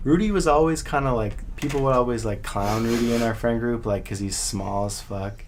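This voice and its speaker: Audible room echo surrounds a man talking at a fairly quick pace with hardly any pauses. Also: medium pitch for a man, ordinary pitch variation. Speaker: podcast co-host. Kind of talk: casual chat. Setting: studio.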